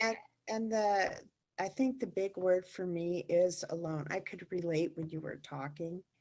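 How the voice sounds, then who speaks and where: A woman with an unremarkable speaking voice talks at a medium pitch with ordinary pitch variation. Her pace is fairly slow. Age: 60s. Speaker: workshop participant. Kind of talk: personal sharing.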